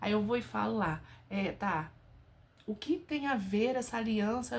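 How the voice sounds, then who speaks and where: A woman speaks at medium pitch in an animated tone. Her voice is somewhat breathy. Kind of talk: casual religious talk to camera. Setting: home bedroom.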